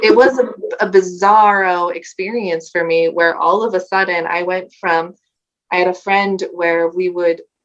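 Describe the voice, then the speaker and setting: Fairly even intonation and a moderate pace mark an unremarkable speaking voice. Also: woman. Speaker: language coach. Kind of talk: interview.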